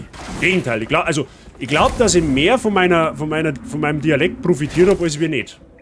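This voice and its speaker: A man speaks at a moderate pace with a Bavarian accent, his pitch fairly high. Noticeable background noise runs behind him. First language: Bavarian dialect (speaking German). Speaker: streamer. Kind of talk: gameplay commentary. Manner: casual, chatty.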